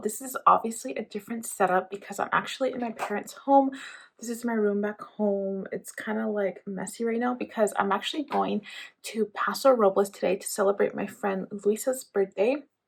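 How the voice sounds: Quiet and raspy, a woman uses a put-on character voice at a medium pitch and moderate pace.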